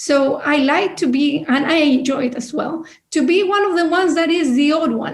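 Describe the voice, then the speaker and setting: Audible room echo surrounds a woman with a high-pitched voice. She talks at a moderate pace. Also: ordinary pitch variation. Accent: non-native. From Chile, outside Santiago. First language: Spanish. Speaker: business leader, panelist. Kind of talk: panel discussion.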